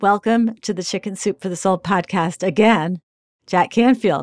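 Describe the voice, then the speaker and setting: A woman with an unremarkable speaking voice talks at a moderate pace and medium pitch, with ordinary pitch variation. The recording is very clean, dry and close with no echo, over a silent background. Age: 60s. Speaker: podcast host and editor. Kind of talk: interview.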